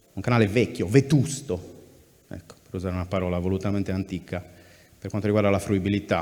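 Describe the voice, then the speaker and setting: A man with a fairly low pitch speaks at a very fast pace with ordinary pitch variation, long and frequent pauses, and big swings in loudness. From Sardinia, Cagliari. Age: 30s. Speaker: journalist, news site editor. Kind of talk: public talk at festival. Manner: hesitant, repeats words.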